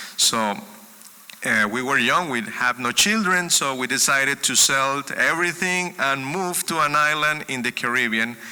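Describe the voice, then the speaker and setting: A man at a moderate pace, with noticeable background noise behind him. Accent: Spanish. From Colombia. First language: Spanish. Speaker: music educator and speaker. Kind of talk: sermon-style talk. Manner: halting, with repetitions.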